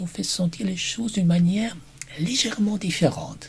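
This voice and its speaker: A man with a high-pitched voice speaks over noticeable background noise. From Germany. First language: German (speaking French). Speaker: German teacher. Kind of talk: personal presentation video.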